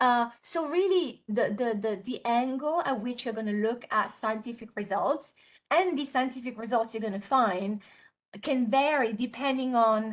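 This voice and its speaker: The woman's voice is high in pitch. She speaks with an Italian accent. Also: ordinary pitch variation, moderate pace. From Italy. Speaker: software trainer. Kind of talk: webinar tutorial. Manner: many fillers and hesitations.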